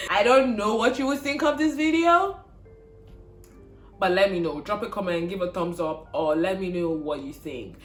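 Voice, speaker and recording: A Nigerian accent at a moderate pace, with music in the background. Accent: Igbo-inflected English. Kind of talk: casual, video-creator address.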